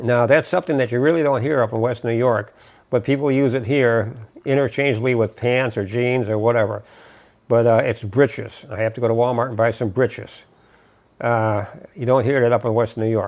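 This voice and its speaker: Using a plain, everyday voice, a man speaks at medium pitch and a fairly quick pace with fairly even intonation. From Western New York. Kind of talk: casual talk to camera.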